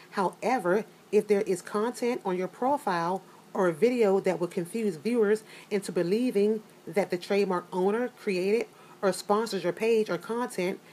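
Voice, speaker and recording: Here is a woman with an unremarkable speaking voice at a medium pitch. Her pace is moderate and her pitch varies in an ordinary way. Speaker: youtube commentator. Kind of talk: casual, conversational.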